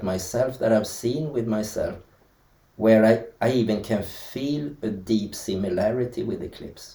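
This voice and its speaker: In a Swedish accent, the speaker talks fairly slowly with a somewhat breathy, dark and mellow tone and big swings in loudness. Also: man. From Sweden. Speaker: dancer. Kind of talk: interview. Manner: halting.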